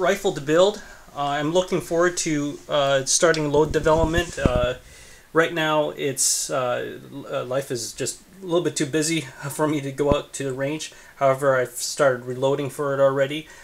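A man talks at a moderate pace. His intonation stays fairly even. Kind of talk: casual vlog chat. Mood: relaxed, pleased. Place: home room. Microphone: phone near.

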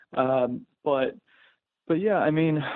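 With a dry, close sound and no echo, a man speaks slowly at a fairly high pitch. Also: ordinary pitch variation.

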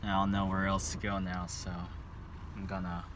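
Clear background noise sits behind a man speaking at a low pitch and a fairly slow pace.

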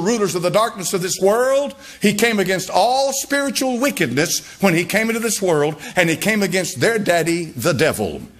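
Against noticeable background noise, a man with a high-pitched voice speaks at a moderate pace with ordinary pitch variation. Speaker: pastor. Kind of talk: sermon preaching.

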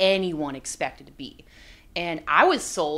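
With an American accent, a woman speaks at a fairly slow pace and keeps her intonation fairly even. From Florida, near Tampa; Florida. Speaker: NFL team reporter, former college athlete; NFL team reporter. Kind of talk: sports analysis discussion. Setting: studio. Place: studio. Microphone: studio mic.

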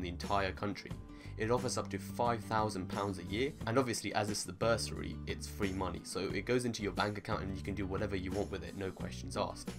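A man with a fairly low pitch talks at a very fast pace while clear music plays in the background. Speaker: medical student vlogger. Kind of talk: casual vlog chat. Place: home room.

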